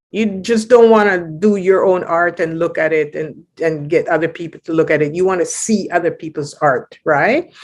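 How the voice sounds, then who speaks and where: A woman's ordinary speaking voice, fairly low in pitch, at a moderate pace with ordinary pitch variation and hardly any pauses. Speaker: poet and spoken word performer. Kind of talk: interview answer. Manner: casual, conversational.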